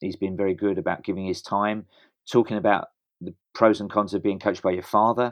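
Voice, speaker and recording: This man has a fairly low pitch and a British accent. He talks very fast in a monotone, flat intonation. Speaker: running coach and stadium announcer. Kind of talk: interview.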